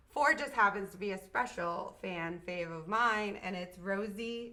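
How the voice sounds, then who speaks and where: A woman speaks at a moderate pace in an animated tone, with ordinary pitch variation and noticeable background noise. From Maine, US. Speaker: live show host. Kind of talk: live stream chat and interview.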